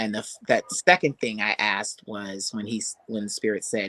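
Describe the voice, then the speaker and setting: Heard dry and close with no echo, a man speaks at a moderate pace and fairly low pitch, with ordinary pitch variation, big swings in loudness and a bright, sharp tone. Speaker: singer and spiritual mentor. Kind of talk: interview. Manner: animated.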